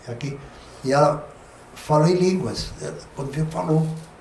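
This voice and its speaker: A man with a southern Brazilian accent talks at a moderate pace with ordinary pitch variation, while noticeable background noise and audible room echo fill the recording. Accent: gaúcho Brazilian Portuguese. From southern Brazil (Rio Grande do Sul). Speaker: pastor. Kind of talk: testimony. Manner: conversational, frequent filler tags.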